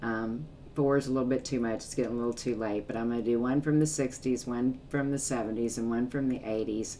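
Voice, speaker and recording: A woman's very deep, low voice, monotone and flat, at a very fast pace. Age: 60s. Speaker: music reaction YouTuber. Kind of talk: casual vlog talk to viewers. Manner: hesitant, many fillers.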